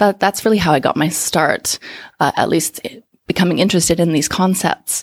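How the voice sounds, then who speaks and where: A normal speaking voice with a Canadian accent moves at a fairly quick pace with fairly even intonation. The sound is dry and close with no echo. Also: woman. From Canada. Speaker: communication coach. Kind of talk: interview.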